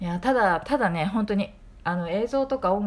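Here a woman talks at medium pitch. Her pitch swings are very wide. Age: 40s. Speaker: podcaster, film reviewer. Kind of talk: casual monologue film review. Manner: chatty, informal.

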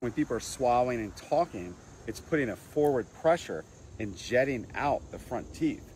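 In a dry sound with no echo, a man keeps a moderate pace as light background noise continues. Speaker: dental health educator. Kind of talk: explanatory tutorial. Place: garden. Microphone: lapel.

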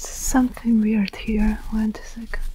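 A soft-spoken woman at a fairly slow pace, with light background noise and a dry sound with no echo. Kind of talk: roleplay addressing viewer. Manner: soft-spoken close murmur. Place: home room. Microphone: phone near.

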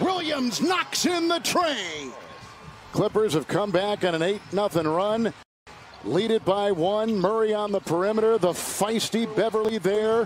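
A man with a high pitch for a man talks at a fairly slow pace with lively intonation. The sound is dry with no echo, and light background noise is present. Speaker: play-by-play commentator. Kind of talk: live sports commentary, play-by-play of a basketball game. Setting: broadcast, arena game coverage. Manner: punchy, clipped call of action.

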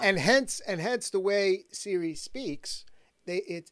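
A quiet background and a man speaking at a fairly slow pace. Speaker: talk show host. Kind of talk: interviewer questions. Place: studio. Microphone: studio mic.

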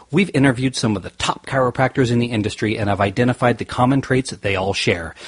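Very fast, somewhat breathy speech from a man. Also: quiet background. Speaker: podcast host and chiropractor. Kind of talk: podcast interview.

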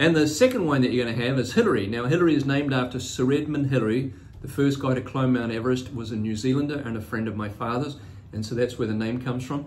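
His pitch moves in an ordinary way. The man is talking at a very fast pace. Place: office. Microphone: phone near.

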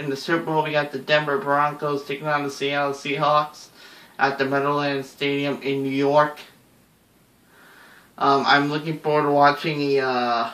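A man talks at a moderate pace, with audible echo from the room. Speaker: sports vlogger. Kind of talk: casual vlog prediction. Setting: at home, someone sleeping. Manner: hushed, moderate volume; hesitant, many fillers. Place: home room. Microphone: webcam.

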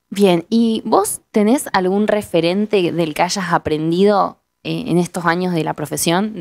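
A woman with an unremarkable speaking voice talks at a fairly slow pace with hardly any pauses, her fairly low pitch showing ordinary variation. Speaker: interviewer. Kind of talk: interview. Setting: studio.

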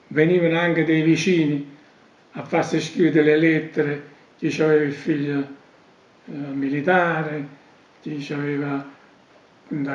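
A man in a monotone, flat intonation at a fairly slow pace, with long, frequent pauses and audible room echo. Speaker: elder recounting memories. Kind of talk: oral history interview answer. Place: home room.

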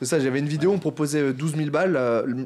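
A man with a dark, mellow tone and fairly high pitch speaks at a very fast pace. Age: 20s. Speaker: YouTuber. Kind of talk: casual chat. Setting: studio. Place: studio. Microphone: studio mic.

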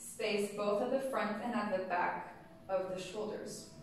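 Strong room echo and light background noise surround a woman speaking at a moderate pace. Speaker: yoga teacher. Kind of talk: guided yoga class, step-by-step postural cueing. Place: studio. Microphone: camera far.

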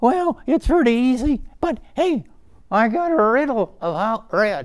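The speaker uses a put-on character voice. The delivery is fairly slow. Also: man, extremely high pitch for a man.

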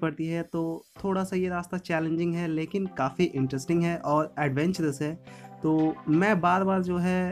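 The speech moves at a fairly slow pace, with faint music playing in the background. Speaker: hiker vlogger. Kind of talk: casual vlog chat. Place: forest. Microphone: phone near.

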